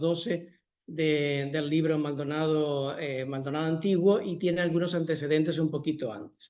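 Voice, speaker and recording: Audible room echo surrounds a man whose fairly high pitch holds fairly even intonation. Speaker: historian giving a talk. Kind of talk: lecture. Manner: fast.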